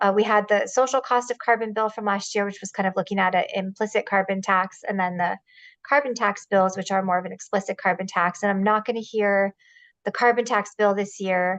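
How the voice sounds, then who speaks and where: Over a quiet background, a woman speaks at a fairly quick pace and medium pitch with fairly even intonation. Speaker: state legislator, committee chair. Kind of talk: public meeting presentation. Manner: fast.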